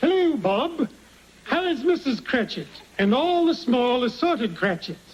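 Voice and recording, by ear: Putting on a character voice, a man speaks at an extremely high pitch with very wide pitch swings, very even loudness and a moderate pace.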